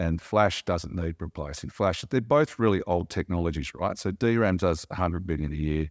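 Speaking in an Australian accent at a moderate pace, a man with a very deep, low pitch comes through dry and close with no echo against a quiet background. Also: ordinary pitch variation, hardly any pauses. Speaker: company chairman. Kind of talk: interview.

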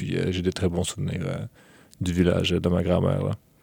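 A man's very deep, low voice with a dark, mellow tone and a Quebec accent, dry and close with no echo. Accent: Québécois French. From Quebec, Lévis (from age 10; born in Ukraine). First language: Russian (speaking French). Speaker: university student. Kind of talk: interview. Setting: studio. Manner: hesitant, many fillers.

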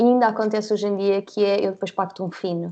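The tone is dark and mellow. Delivery moves at a fairly quick pace. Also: woman. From Portugal, Guarda. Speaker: graphic designer and social media manager. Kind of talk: casual interview.

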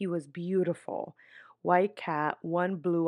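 A woman speaks with an American accent. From New York City, then upstate New York. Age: 20s. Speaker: podcaster. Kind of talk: casual chat.

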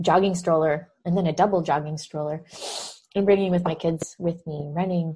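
Her tone is dark and mellow, somewhat breathy, with a fairly low pitch. The woman keeps fairly even intonation at a moderate pace. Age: 40s. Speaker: nutrition health coach and podcast host. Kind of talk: interview answers, casual chat.

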